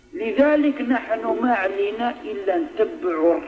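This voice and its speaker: Against noticeable background noise, a man with an Algerian accent speaks with very wide pitch swings. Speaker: Islamic preacher. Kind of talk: religious lesson in a mosque. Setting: mosque.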